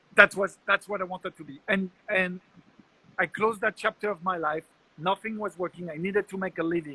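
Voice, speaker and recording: A man with a French accent speaks in a raised, projected voice at a fairly quick pace, his high pitch and bright, sharp tone held in fairly even intonation. His loudness swings widely. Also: dry, close sound with no echo. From France. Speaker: entrepreneur and public speaker. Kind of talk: casual interview.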